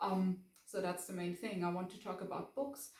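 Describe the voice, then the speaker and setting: A woman is speaking. She has a German accent. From Germany, Bavaria. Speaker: book vlogger. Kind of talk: casual vlog talk to camera. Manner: hesitant, many fillers.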